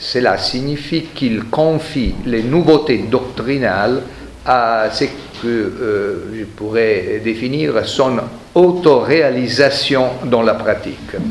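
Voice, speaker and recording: A man speaks very slowly with an Italian accent at a medium pitch. Noticeable background noise and audible room echo fill the recording. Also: ordinary pitch variation. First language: Italian (speaking French). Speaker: historian, professor. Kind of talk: lecture.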